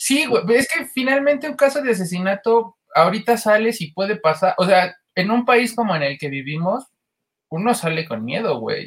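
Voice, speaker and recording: Speaking at a moderate pace with a Mexican accent, a man uses a high pitch and very wide pitch swings. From State of Mexico. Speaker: podcast co-host. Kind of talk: casual chat.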